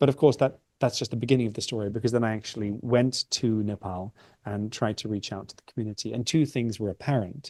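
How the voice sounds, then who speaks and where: A man's medium-pitched voice with a dark, mellow tone, fairly even intonation, a dry, close sound without echo, and a quiet background. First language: Dutch (bilingual with English). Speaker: visiting professor, anthropologist and linguist. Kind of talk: Q&A after lecture. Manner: hesitant, with frequent fillers and repetitions.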